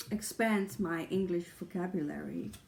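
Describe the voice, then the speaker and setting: A woman's fairly low voice at a very slow pace with ordinary pitch variation. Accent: Dutch. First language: Dutch. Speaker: tarot YouTuber. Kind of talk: casual vlog talk. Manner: halting, with fillers.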